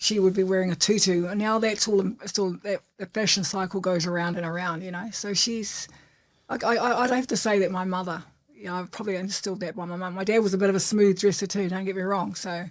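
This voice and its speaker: In a New Zealand accent, a woman talks at a very fast pace with fairly even intonation. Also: medium pitch for a woman. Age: 60s. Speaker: entrepreneur. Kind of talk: interview.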